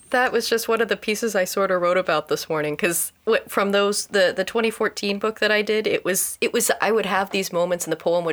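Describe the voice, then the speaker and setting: Talking at a very fast pace with hardly any pauses, a woman keeps a medium pitch and very even loudness. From Indiana, US Midwest. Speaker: photographer and multi-disciplinary creator. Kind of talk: casual interview chat. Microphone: new studio mic setup.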